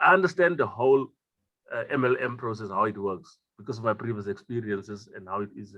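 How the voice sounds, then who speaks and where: At a very fast pace, a man speaks at a medium pitch with ordinary pitch variation. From South Africa, Northern Cape (Kimberley). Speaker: network marketer. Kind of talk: online group call testimony. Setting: video call.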